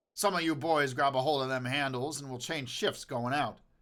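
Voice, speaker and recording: A man puts on a raspy character voice with a fairly high pitch and fairly even intonation. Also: moderate pace, very clean recording, silent background. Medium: read story. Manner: rough, threatening.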